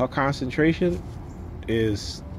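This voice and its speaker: A man speaks with lively intonation while light background noise runs underneath. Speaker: parent vlogger. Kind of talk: casual vlog rant. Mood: frustrated, ranting. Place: street. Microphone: phone near.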